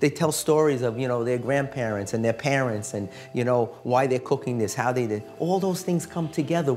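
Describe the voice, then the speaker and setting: A man talks at a fairly quick pace with hardly any pauses and ordinary pitch variation. Faint music sits in the background. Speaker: priest, TV host. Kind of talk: interview conversation. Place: kitchen.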